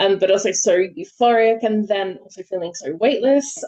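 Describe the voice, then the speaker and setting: Dry and close with no echo, a woman's dark, mellow voice at a fairly high pitch comes with an Australian accent at a moderate pace. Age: 30s. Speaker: poet. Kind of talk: interview. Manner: hesitant, many fillers.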